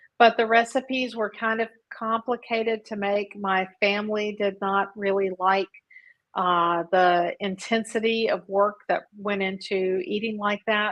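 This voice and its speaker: A woman talks at a fairly slow pace with a medium pitch and fairly even intonation. Hers is an unremarkable speaking voice. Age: 60s. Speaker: coaching client. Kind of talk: interview.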